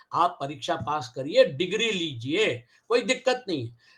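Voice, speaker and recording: Bright, sharp tone from a man projecting his raised voice. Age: 70s. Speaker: Gita teacher. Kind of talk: lecture.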